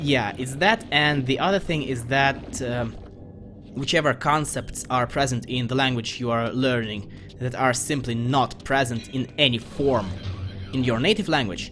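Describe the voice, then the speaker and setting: With music in the background, the speaker talks at a moderate pace with a slight Russian accent and ordinary pitch variation. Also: man, medium pitch for a man. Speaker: video game let's player. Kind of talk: gameplay commentary. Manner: casual with frequent hesitations.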